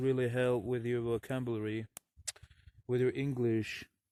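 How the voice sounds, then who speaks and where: A man with a Russian accent, medium pitch, a dark, mellow tone and a fairly slow pace. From Russian-speaking country, never abroad. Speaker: vlogger. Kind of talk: outdoor vlog talk to camera. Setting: outdoors in a forest. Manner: halting.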